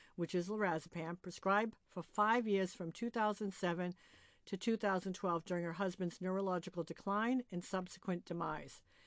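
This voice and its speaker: Against a quiet background, a woman uses a plain, everyday voice at a medium pitch. Her pace is moderate and her intonation fairly even. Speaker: podcast host. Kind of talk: podcast introduction.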